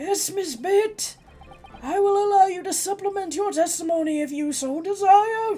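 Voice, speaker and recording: Over music in the background, a put-on character voice at an extremely high pitch moves at a moderate pace. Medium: actual play.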